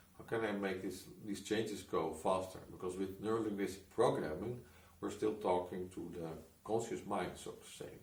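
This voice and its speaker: Amid audible room echo, a man with a fairly low, somewhat breathy voice speaks at a moderate pace with fairly even intonation and big swings in loudness. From Netherlands. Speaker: hypnotist and coach. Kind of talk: personal story monologue. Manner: halting, many restarts.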